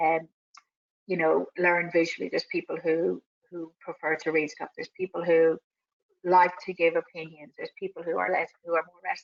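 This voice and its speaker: A woman talks at a fairly quick pace, with big swings in loudness. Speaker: business coach running a webinar. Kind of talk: webinar presentation. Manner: fast.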